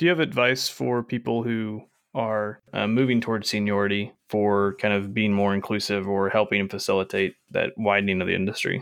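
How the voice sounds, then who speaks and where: A man with an ordinary speaking voice, fairly low in pitch with ordinary pitch variation, at a moderate pace with hardly any pauses, in a quiet background. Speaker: podcast host. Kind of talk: casual interview chat.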